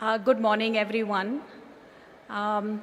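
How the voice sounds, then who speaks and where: Room echo can be heard. The talking goes along fairly slowly. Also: woman. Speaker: business executive. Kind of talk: conference speech. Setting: stage with audience.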